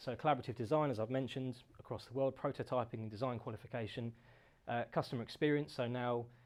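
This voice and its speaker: A man speaks very fast at a medium pitch. His intonation is fairly even, and the background is quiet. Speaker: company founder giving a talk. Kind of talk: presentation talk.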